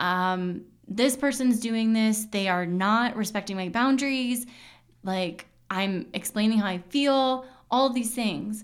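A woman speaks in a plain, everyday voice at a fairly high pitch. Her pace is fairly slow, with ordinary pitch variation. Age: 30s. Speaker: podcast host and intuitive coach. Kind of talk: casual solo monologue.

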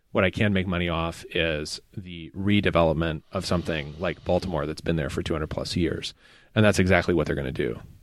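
A man's very deep, low voice at a fairly quick pace with fairly even intonation, in a very clean recording with a silent background. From Appalachia. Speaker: seminary professor. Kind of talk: casual chat. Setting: in person.

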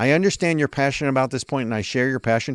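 A man at a very fast pace, with a dry, close sound with no echo and a quiet background. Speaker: podcast host. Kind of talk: political commentary discussion. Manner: opinionated, fluent.

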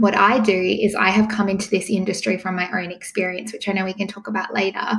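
A woman talks at a very fast pace. She has an Australian accent. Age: 30s. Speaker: pregnancy coach. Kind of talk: interview. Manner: calm, soothing.

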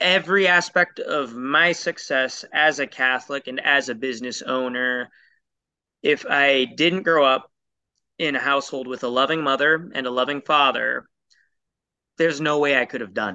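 With a West Coast US accent, a man talks at a moderate pace in a fairly high pitch and a bright, sharp tone. His loudness swings widely over a quiet background. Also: ordinary pitch variation. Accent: General American, West Coast. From US Pacific Northwest, Portland, Oregon. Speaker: entrepreneur. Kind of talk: interview.

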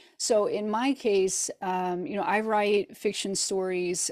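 A woman speaks with a Midwestern American accent at a medium pitch. Her intonation stays fairly even. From US Midwest, rural northeast Missouri. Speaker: novelist. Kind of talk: interview. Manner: hesitant, many fillers.

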